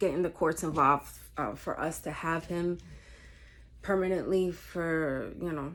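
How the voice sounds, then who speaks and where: On a very clean recording with a silent background, a woman with a Spanish accent speaks at a moderate pace, her fairly low pitch showing ordinary variation. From New York State. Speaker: vlogger. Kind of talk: casual chat. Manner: halting, many fillers.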